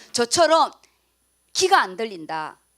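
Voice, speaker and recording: A woman's voice with very wide pitch swings. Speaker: pastor. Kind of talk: sermon. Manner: loud.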